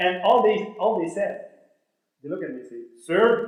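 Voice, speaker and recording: A man with a French accent and a high pitch, animated in tone, at a moderate pace with ordinary pitch variation, in audible room echo. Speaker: motivational speaker. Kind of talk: motivational speech.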